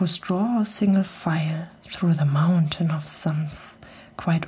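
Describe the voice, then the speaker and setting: Soft-spoken and somewhat breathy, a woman talks at a very slow pace with a gentle, dark, mellow tone and a fairly low pitch. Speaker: storyteller. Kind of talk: reading aloud a rhyming story. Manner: soft-spoken, gentle ASMR reading voice. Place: studio. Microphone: studio mic.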